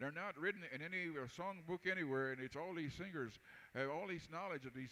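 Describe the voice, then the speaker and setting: A man speaks in a fairly high pitch with ordinary pitch variation. It is an ordinary speaking voice. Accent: American. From Texas. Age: 60s. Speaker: powwow announcer and singer. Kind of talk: live event announcing.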